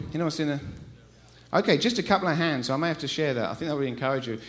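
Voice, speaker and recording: Here a man speaks in an English accent with a fairly high pitch. His pitch variation is ordinary. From England. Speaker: visiting preacher. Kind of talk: sermon. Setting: church. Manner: animated.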